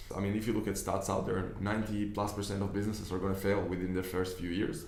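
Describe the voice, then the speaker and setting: A man with a non-native accent talks very fast at a fairly low pitch in a flat monotone. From Israel, Tel Aviv. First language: Hebrew. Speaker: business investor and online coach. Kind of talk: video monologue. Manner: hesitant, with fillers and repeats.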